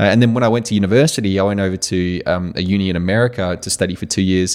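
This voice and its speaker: In a very clean recording with a silent background, a man with an Australian accent speaks at a fairly quick pace in a fairly low pitch. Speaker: podcast host. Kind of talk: casual interview conversation. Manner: halting with many fillers.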